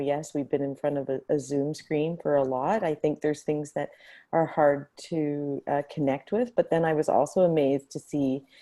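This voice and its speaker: Soft-spoken and at a moderate pace, a woman talks with a very deep, low pitch and a dark, mellow tone. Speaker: hackathon facilitator. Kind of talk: casual reflection on video call. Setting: video call from home. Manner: halting.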